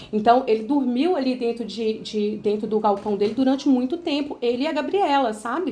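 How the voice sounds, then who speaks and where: A woman speaks with a Minas Gerais accent. Her pitch is high, with ordinary variation. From Minas Gerais, Brazil (Itabira). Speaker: sales representative for a business mentorship. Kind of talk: sales pitch on a phone call. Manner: hesitant, many fillers.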